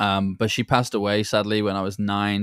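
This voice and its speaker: With a British accent, a man talks at a fairly quick pace in a fairly low pitch and a monotone, flat intonation, the sound dry and close with no echo on a very clean recording with a silent background. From England. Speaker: entrepreneur and former pro soccer player. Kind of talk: interview. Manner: blunt, direct.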